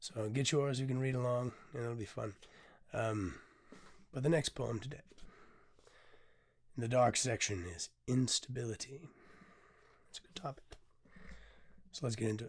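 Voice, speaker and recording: A somewhat breathy male voice broken by long, frequent pauses. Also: medium pitch for a man, ordinary pitch variation, moderate pace. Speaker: poet and podcast host. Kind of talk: casual podcast monologue. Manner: hesitant, many filler sounds.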